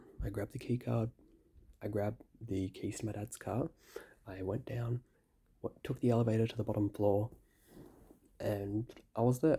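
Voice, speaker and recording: A man speaks quietly in an Australian accent. His tone is dark and mellow, and somewhat breathy. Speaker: gaming youtuber. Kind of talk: casual vlog storytelling. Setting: hotel room at night. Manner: quiet, hushed.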